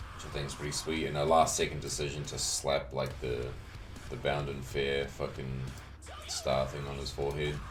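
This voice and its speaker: Over background music and audible room echo, a man with a very deep, low pitch talks at a moderate pace in a relaxed tone with monotone, flat intonation. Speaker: video editor and 3D hobbyist. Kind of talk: casual tutorial commentary. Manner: casual, relaxed.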